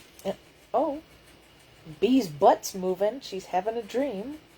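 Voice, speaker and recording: Very wide pitch swings mark a woman's medium-pitched, somewhat breathy voice with a dark, mellow tone. She speaks at a very slow pace. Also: long, frequent pauses, big swings in loudness. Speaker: vlogger and call center worker. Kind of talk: casual vlog monologue. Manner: halting, repetitive stammers.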